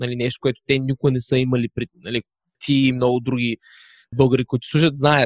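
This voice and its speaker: A man at medium pitch, talking at a very fast pace, with a dry, close sound and no echo. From Bulgaria, Varna. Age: 20s. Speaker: digital nomad, podcaster. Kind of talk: casual interview.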